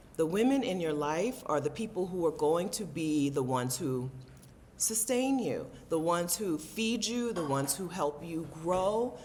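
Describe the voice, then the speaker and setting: Noticeable background noise sits under the speech. The pace is moderate, and the intonation lively. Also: woman. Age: 40s. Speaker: travel vlogger and content creator. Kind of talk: casual talk to camera.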